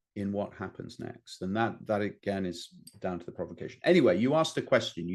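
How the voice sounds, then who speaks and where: A man with a British accent, fairly low-pitched, with lively intonation. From Britain. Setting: stage. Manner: hesitant, many filler words.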